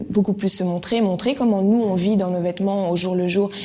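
A woman speaks with a medium pitch and ordinary pitch variation while noticeable background noise plays behind her. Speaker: former sprinter, clothing entrepreneur. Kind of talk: interview.

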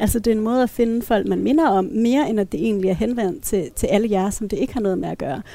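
A woman with a dark, mellow tone and fairly high pitch, very fast with hardly any pauses and ordinary pitch variation. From Denmark, Thy (northwest Jutland). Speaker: feminist panelist. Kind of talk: casual panel discussion. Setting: café.

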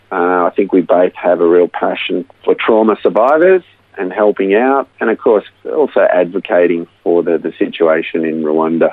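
With an Australian accent, the talking goes along at a moderate pace. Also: man. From Australia (Melbourne). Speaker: counselor, former engineer. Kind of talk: interview testimony.

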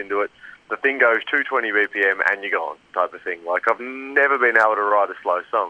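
An Australian accent at a fairly quick pace. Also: man. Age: 30s. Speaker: metal band vocalist and guitarist. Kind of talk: interview. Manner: halting.

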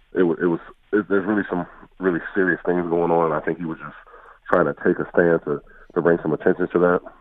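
A man's very deep, low voice, very fast and monotone with flat intonation. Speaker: former NFL player. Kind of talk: casual sports interview.

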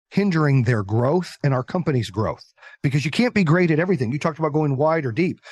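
A man with an ordinary speaking voice, fairly high-pitched for a man, talks at a fairly quick pace with lively intonation in a dry, close sound with no echo. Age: 40s. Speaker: entrepreneur and business coach. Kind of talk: casual chat.

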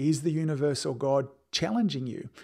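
Speaking with an Australian accent, a man with a fairly high pitch and ordinary pitch variation comes through on a very clean recording with a silent background. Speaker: podcast host and chiropractic business coach. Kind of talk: solo podcast monologue.

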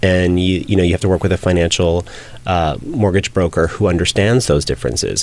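Speaking fairly quickly in a General American accent, with very even loudness and ordinary pitch variation, the voice sits over noticeable background noise. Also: man, very deep, low pitch for a man. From California. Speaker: realtor and reality TV cast member. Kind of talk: interview.

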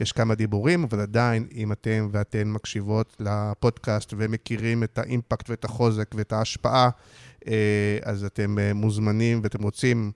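A man talks at a fairly slow pace with a fairly low pitch. The sound is dry and close with no echo. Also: very clean recording, silent background. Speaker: podcast host. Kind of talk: interview. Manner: halting.

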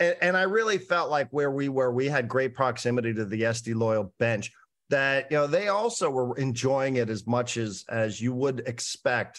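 A man speaks in a normal speaking voice at a medium pitch. His pace is moderate and the background is quiet. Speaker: broadcaster and podcast host. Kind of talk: casual chat.

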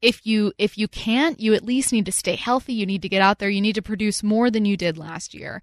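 Moderate pacing and ordinary pitch variation in an ordinary speaking voice. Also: woman, dry, close sound with no echo. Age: 30s. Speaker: radio sports host. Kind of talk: radio host patter, sports analysis and jokey banter. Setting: radio studio.

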